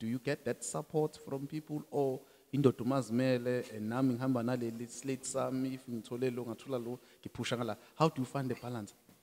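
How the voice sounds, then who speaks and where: Fairly quick and fairly even in intonation, a man speaks with a South African accent. His tone is dark and mellow. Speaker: podcast co-host. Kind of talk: casual interview. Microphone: handheld.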